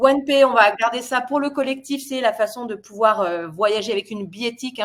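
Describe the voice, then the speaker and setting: Using a normal speaking voice, a woman talks at a fairly quick pace and a fairly high pitch, with ordinary pitch variation. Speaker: product presenter. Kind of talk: webinar presentation. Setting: online webinar.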